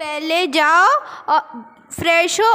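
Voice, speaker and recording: In a raised, projected voice, a woman speaks at a very slow pace. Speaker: teacher acting a mother in skit. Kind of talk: stage skit dialogue. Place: stage.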